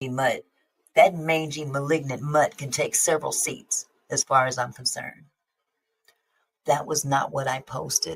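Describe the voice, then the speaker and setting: A woman's fairly slow speech with long, frequent pauses. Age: 60s. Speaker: YouTube commentator. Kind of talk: live stream discussion.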